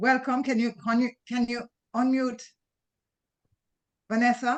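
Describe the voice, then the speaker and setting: A loud woman with a high pitch, at a fairly slow pace, in a monotone, flat intonation. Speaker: event host. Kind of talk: online meeting welcome chat.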